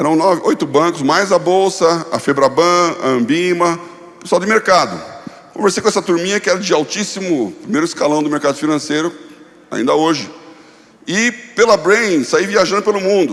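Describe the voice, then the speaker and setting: Noticeable background noise sits under a man's high-pitched voice. He moves at a moderate pace with ordinary pitch variation. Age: 60s. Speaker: pastor and former finance executive. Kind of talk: conference talk.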